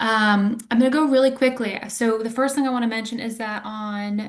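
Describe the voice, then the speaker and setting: Noticeable background noise runs under the voice. The intonation stays fairly even. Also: woman. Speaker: community engagement staff. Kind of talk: webinar presentation. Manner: fast.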